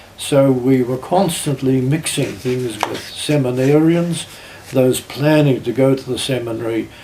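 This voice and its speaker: Delivery is at a fairly slow pace with an Australian accent. Noticeable background noise runs underneath. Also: man. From South Australia. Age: 80s+. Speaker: retired pastor. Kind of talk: family oral history interview. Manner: halting.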